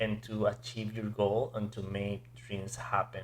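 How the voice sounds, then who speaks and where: The man has a medium pitch and talks fairly slowly. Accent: non-native. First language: not English. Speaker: podcast host. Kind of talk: interview.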